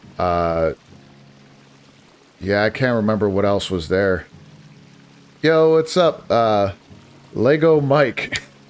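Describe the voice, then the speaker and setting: This man speaks with an American accent, his fairly low voice making very wide pitch swings. He talks at a very slow pace with long, frequent pauses while music plays in the background. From US Northeast, northeastern Pennsylvania. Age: 40s. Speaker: gaming streamer. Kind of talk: casual live-stream chat. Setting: live stream. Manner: halting, many fillers and restarts.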